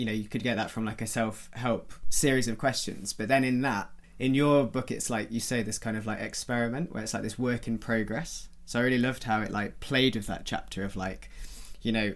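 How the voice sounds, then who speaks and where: A man talks in a normal speaking voice at medium pitch. His pace is moderate and his intonation fairly even. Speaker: podcast co-host. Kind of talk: interview.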